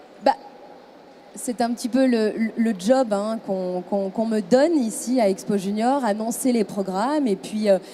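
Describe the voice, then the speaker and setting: A woman's fairly high voice, fairly slow pace and ordinary pitch variation, with noticeable background noise. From France. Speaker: radio host. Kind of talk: casual interview. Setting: event venue, on camera. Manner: hesitant, many fillers.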